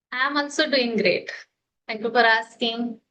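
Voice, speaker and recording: Bright and sharp, a woman's high voice with an Indian accent keeps a fairly even intonation. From India, Maharashtra. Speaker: homemaker, English learner. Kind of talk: casual chat. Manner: halting.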